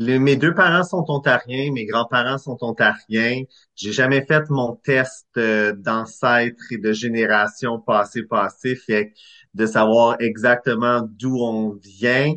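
At a very slow pace, a man speaks at a medium pitch with ordinary pitch variation. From Eastern Ontario, Clarence Creek. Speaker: screenwriter and director. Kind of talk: casual interview.

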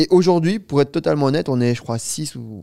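Lively intonation and a dark, mellow tone mark this man's very fast pace. The recording is very clean with a silent background and a dry, close sound with no echo. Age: 20s. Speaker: startup founder. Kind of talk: interview.

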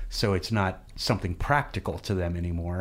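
A fairly low-pitched man with a Midwestern American accent, in a very clean recording with a silent background. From central Missouri, US Midwest. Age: 40s. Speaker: radio station executive director. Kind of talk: casual radio interview. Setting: radio studio.

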